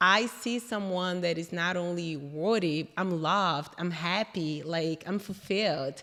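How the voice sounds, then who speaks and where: Speaking with a Brazilian accent, a woman uses a fairly low pitch, a bright, sharp tone and ordinary pitch variation at a fairly slow pace with hardly any pauses. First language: Portuguese. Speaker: interior designer. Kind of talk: casual interview chat.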